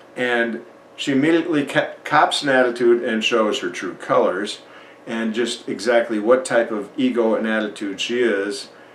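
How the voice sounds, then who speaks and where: At a moderate pace, a man speaks with medium pitch and fairly even intonation, with audible room echo. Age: 60s. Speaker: YouTube commentator. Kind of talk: reaction commentary.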